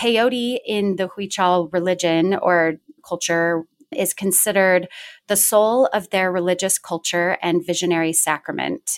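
On a very clean recording with a silent background, a woman with an American accent uses a normal speaking voice, fairly low in pitch, with ordinary pitch variation and a fairly slow pace. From Washington State, US. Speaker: therapist in training, yoga teacher. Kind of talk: casual chat.

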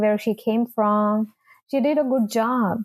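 A woman speaks at a very slow pace and a fairly high pitch. The background is quiet. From India. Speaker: immigration consultant. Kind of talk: interview.

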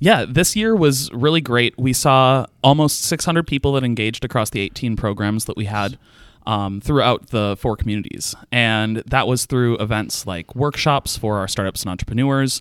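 A man with a normal speaking voice talks at a moderate pace and a medium pitch, with ordinary pitch variation and hardly any pauses, on a very clean recording with a silent background and a dry, close sound with no echo. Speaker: entrepreneurship advocate and theater performer. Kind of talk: interview podcast. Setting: studio.

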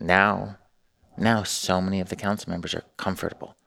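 A man's very deep, low voice with vocal fry on a very clean recording with a silent background. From US West Coast, Newport Beach, California. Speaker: mayor and restaurant owner. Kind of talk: casual interview. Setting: studio.

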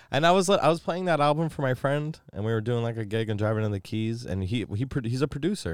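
Here is a man with an unremarkable speaking voice, medium in pitch, talking at a fairly quick pace with lively intonation. The recording is very clean, with a silent background. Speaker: stand-in co-host. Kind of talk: casual banter.

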